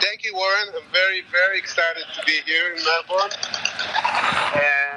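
A man speaks in a high voice with fairly even intonation over noticeable background noise. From Israel. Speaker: jazz guitarist. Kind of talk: interview. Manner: halting.

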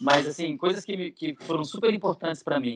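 A man's ordinary speaking voice at a fairly quick pace, with lively intonation. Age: 40s. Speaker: neuroscientist and professor. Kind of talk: interview.

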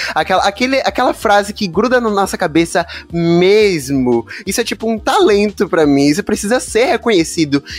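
Over music in the background, a man speaks in an animated tone at a fairly quick pace, his high pitch making very wide swings. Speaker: podcast host. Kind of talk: casual chat.

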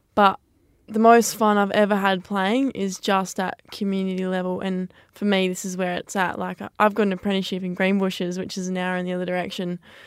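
Over a very clean recording with a silent background, the voice has an Australian accent and monotone, flat intonation. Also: woman, medium pitch for a woman, fairly quick pace. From Western Australia, South West region. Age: 20s. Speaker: community football player. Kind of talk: radio interview.

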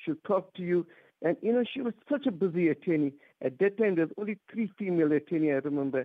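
Very fast and high-pitched, a man talks with lively intonation. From South Africa, Durban. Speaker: caller. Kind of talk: radio call-in. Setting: phone call.

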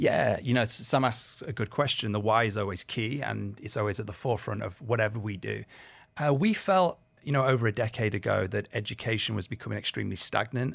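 Speaking with a British accent at a fairly quick pace, a man shows vocal fry, medium pitch and ordinary pitch variation in a very clean recording with a silent background. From UK. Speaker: education director. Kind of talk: radio interview.

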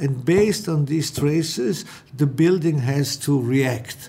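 A man speaks very slowly at a fairly high pitch. Noticeable background noise sits behind him. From Austrian mountain village. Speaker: architect. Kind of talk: interview.

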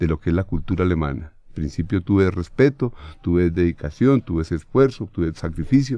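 A man with a Bogotá accent speaks in a dark, mellow tone at a fairly quick pace with ordinary pitch variation. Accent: Bogotano Colombian Spanish. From Bogotá, Colombia. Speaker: football coach.

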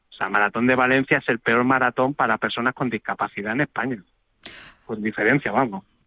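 The man has a normal speaking voice at a medium pitch. He talks at a fairly quick pace with fairly even intonation. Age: 40s. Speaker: paralympic marathon runner. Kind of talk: phone interview.

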